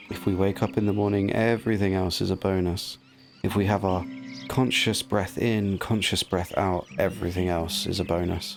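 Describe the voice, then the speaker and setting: At a moderate pace, a man with a fairly low voice talks in a gentle, relaxed tone with fairly even intonation, and there is noticeable background noise. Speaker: gaming commentator; actor, yoga teacher. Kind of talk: relaxing sleep gameplay commentary.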